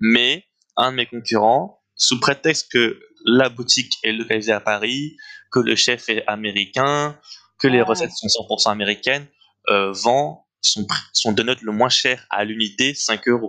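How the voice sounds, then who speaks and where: Fairly slow speech from a man, medium in pitch with ordinary pitch variation and a bright, sharp tone. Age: 20s. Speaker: young entrepreneur, donut shop founder. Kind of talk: interview. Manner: hesitant, many fillers.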